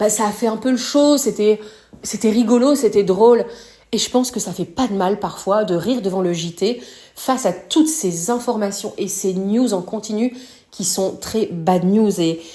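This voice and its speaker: Noticeable background noise surrounds a woman speaking at a fairly slow pace. Her pitch is fairly high, with ordinary pitch variation. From northern France. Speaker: podcast host. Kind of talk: podcast commentary. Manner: casual, hesitant fillers.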